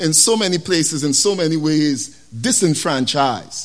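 With a West Indian accent, a man speaks at a moderate pace, his fairly high voice rising and falling in lively intonation. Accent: West Indian Caribbean English. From West Indies. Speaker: preacher. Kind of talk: sermon. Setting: church. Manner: animated.

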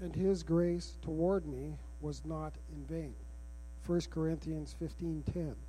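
A man speaks very slowly in a very deep, low voice, his dark, mellow tone somewhat breathy and his intonation fairly even. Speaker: missionary. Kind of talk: reading aloud. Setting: church.

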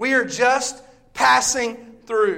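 A man with a Southern US accent and an extremely high pitch. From US South, Bible Belt. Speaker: visiting preacher. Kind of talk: sermon. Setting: church. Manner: loud; animated.

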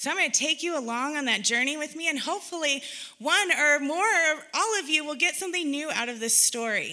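A woman talks at a fairly quick pace in a raised, projected voice with lively intonation. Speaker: women's retreat speaker. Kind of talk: sermon. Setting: retreat with audience.

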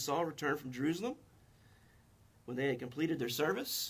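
Somewhat breathy and fairly high-pitched, this man talks with a North Carolina accent and ordinary pitch variation. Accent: North Carolina Southern US. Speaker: Baptist pastor. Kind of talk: sermon. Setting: church with congregation.

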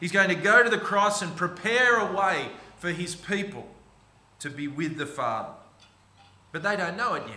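With an Australian accent, a man talks at a high pitch and a moderate pace, his intonation lively and broken by long, frequent pauses. Audible room echo and noticeable background noise fill the recording. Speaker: pastor. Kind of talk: sermon. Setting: church.

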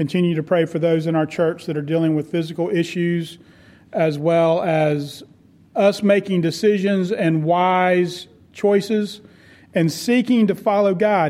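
A man speaks at a moderate pace in a high pitch, his dark, mellow tone carrying ordinary pitch variation. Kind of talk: pastoral address and prayer. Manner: earnest, warm.

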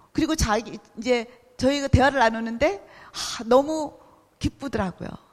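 A woman speaks at a fairly slow pace. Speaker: missionary. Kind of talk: sermon. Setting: church.

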